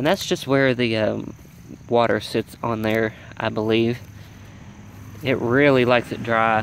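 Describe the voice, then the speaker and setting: Over noticeable background noise, a man talks at a fairly slow pace with fairly even intonation and long, frequent pauses. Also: medium pitch for a man. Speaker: home gardener vlogger. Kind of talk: garden tour walkthrough. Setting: outdoors by a road.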